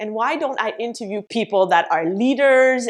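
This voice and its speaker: A woman talks in a French Canadian accent. Her pace is moderate. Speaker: business coach. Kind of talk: vlog tutorial.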